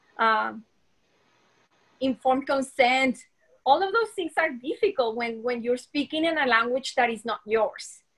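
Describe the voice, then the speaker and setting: A woman with a non-native accent speaks at a high pitch with lively intonation and a moderate pace. She leaves long, frequent pauses. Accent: foreign. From Colombia. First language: Spanish. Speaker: dentist. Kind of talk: interview.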